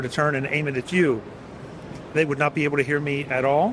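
Fairly even in intonation, a man's fairly high voice moves at a fairly quick pace through noticeable background noise. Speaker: podcast host. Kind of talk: trade show interview. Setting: trade show booth.

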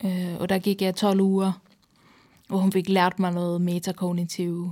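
A woman speaks very slowly at a medium pitch, with a dark, mellow tone and a monotone, flat delivery. Long pauses come often, and the recording is very clean with a silent background. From Sweden. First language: Swedish (speaking Danish). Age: 30s. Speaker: psychiatric patient guest. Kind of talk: casual interview conversation.

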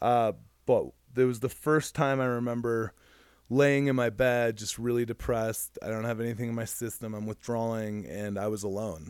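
In a very clean recording with a silent background, a man with an American accent uses an ordinary speaking voice at medium pitch, moderate pace and fairly even intonation. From Michigan. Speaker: recovering addict. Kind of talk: casual interview.

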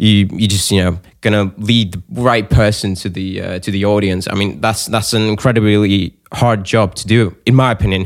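With a plain, everyday voice, a man speaks at a moderate pace in a fairly low pitch, with fairly even intonation and hardly any pauses, in a very clean recording with a silent background. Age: 20s. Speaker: podcast host. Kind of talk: casual interview.

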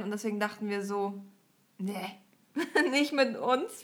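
An ordinary speaking voice moves along at a moderate tempo. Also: woman. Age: 20s. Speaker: podcast host. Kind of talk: casual chat.

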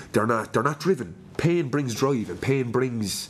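Speaking in a Limerick accent, a man uses lively intonation. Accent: Limerick Irish. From Limerick, Ireland. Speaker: podcast host. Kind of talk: casual chat interview. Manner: upbeat, chatty.

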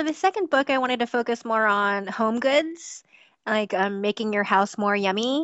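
Moderate pace and lively intonation in a normal speaking voice. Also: woman, fairly high pitch for a woman. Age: 30s. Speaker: crochet designer. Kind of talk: interview.

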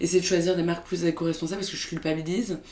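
A woman speaks at a fairly low pitch. Noticeable background noise sits behind her. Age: 20s. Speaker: startup co-founder. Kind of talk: interview. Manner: hesitant, many filler sounds.

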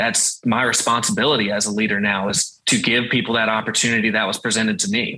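Using a Southern US accent, a man talks at a very fast pace with hardly any pauses, a medium pitch, a bright, sharp tone, fairly even intonation and very even loudness. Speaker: sales team leader. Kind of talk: interview.

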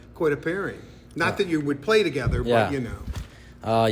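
The speaker is a man. He has a Midwestern accent. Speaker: sports podcast interviewer. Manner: playful, chatty.

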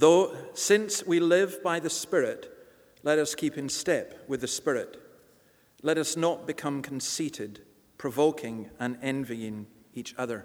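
A fairly high-pitched man with a Scottish accent, fairly slow, with ordinary pitch variation. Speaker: church reader and host. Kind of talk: reading aloud scripture.

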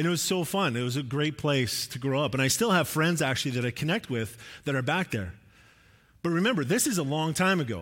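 A man's plain, everyday voice, fairly high and fairly quick, with lively intonation in a very clean recording with a silent background. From Alberta, Canada (near Edmonton). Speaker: preacher. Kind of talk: sermon. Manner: casual, conversational.

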